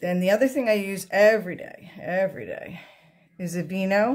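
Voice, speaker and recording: A woman speaks at a medium pitch and a moderate pace. Her voice is somewhat breathy, with ordinary pitch variation. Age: 60s. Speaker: makeup tutorial vlogger. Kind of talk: tutorial. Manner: casual, conversational.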